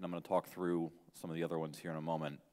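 The background is hushed. A man talks. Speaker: conference speaker. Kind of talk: lecture. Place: hall.

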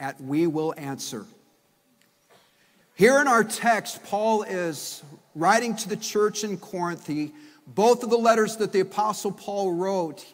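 A man with a high pitch talks at a fairly slow pace. Long pauses come often in his speech. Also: ordinary pitch variation. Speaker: pastor. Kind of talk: sermon. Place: church. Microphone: podium.

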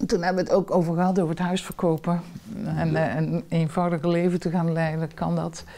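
Her voice fairly low with a dark, mellow tone, a woman speaks at a fairly quick pace in monotone, flat intonation. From southern Netherlands, Limburg; Netherlands. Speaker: professor. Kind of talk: interview. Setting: at home. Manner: talkative. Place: home room.

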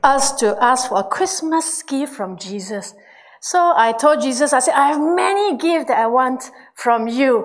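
Against a quiet background, a woman talks at a moderate pace in a high pitch. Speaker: pastor. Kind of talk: sermon to a congregation. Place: church. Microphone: handheld.

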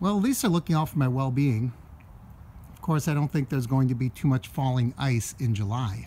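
Light background noise sits behind a man's dark, mellow tone. His somewhat breathy voice has ordinary pitch variation. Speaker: travel vlogger. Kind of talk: casual vlog chat. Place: street. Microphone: phone near.

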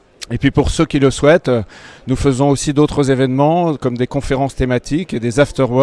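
A man's dark, mellow tone carries fairly even intonation in a dry sound with no echo. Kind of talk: announcement to camera. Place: hall. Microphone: handheld.

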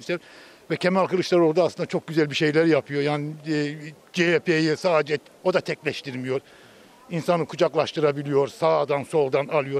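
The sound is dry with no echo. A man with a fairly high pitch speaks at a moderate pace. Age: 50s. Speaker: street interviewee. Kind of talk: street interview opinion. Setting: outdoors. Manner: animated. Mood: critical, animated political opinion. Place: street. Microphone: handheld.

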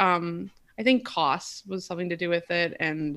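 Bright and sharp in tone, a woman's voice comes through. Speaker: podcast guest. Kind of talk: interview answer. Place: home room.

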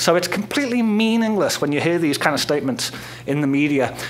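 Lively intonation runs through this man's speech. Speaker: speaker. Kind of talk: lecture. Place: hall. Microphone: podium.

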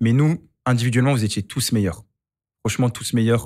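The man's intonation stays fairly even while he moves along at a fairly quick clip, with little sound behind him. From Lyon, France; France. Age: 30s. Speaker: football coach and content creator; podcast guest. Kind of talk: casual chat. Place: studio. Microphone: studio mic.

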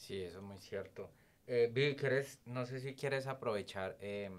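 A man talks with ordinary pitch variation against light background noise. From Colombia, Cali. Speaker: podcast host. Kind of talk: interview conversation. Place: studio. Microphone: studio mic.

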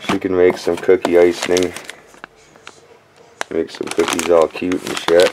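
A man's very deep, low voice at a fairly slow pace, amid noticeable background noise. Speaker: dumpster diving vlogger. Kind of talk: casual vlog chat. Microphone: phone near.

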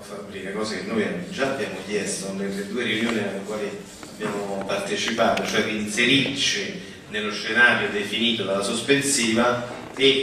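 Audible room echo surrounds a man's fairly low voice. He speaks at a fairly quick pace.

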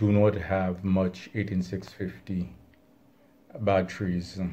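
Speaking at a very slow pace, a man with a very deep, low pitch has a dark, mellow tone and fairly even intonation. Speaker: hobbyist channel host. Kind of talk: casual vlog chat. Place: home room.

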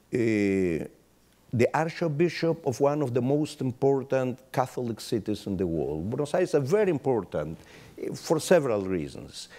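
His tone is dark and mellow, at a moderate pace. This man's pitch swings very widely. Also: medium pitch for a man. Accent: Spanish. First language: Spanish. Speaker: rabbi. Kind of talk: panel discussion; panel discussion answer. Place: hall. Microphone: lapel.

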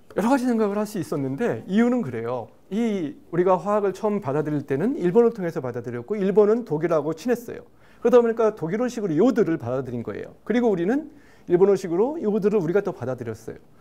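A man speaks with a high pitch at a very fast pace. His pitch swings very widely. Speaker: professor guest expert. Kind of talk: explanatory interview answer. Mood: friendly, smiling. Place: studio. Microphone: lapel.

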